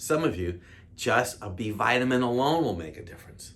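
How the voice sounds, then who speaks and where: A man with an American accent speaks at a moderate pace with audible room echo. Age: 60s. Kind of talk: health talk to camera. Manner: casual, conversational.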